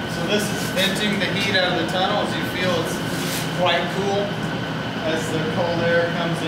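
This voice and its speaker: A man talks at a fairly slow pace. Loud background noise and audible room echo fill the recording. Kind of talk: interview answer. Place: tunnel cave.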